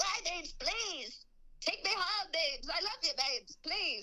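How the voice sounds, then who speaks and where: Extremely high-pitched put-on character voice of a woman, delivered at a moderate pace. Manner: heartbroken, pleading.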